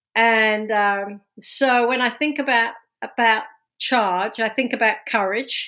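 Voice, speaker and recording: In a London accent, a woman speaks very slowly at a fairly high pitch, her loudness very even and her intonation fairly even. The recording is very clean, with a silent background. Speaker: business executive. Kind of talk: interview.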